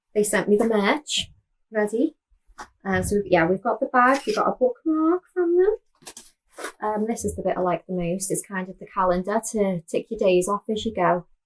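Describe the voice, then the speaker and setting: A woman's fairly high voice with a Liverpool accent, lively intonation and a moderate pace, in a dry, close sound with no echo. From Liverpool, England. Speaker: knitting podcaster. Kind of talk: casual chat.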